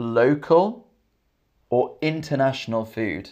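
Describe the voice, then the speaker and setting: Speaking at a very slow pace, a man talks in a London accent. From England; Camden, London. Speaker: English teacher. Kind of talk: live stream English lesson. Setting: live stream with chat. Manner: clear, repetitive.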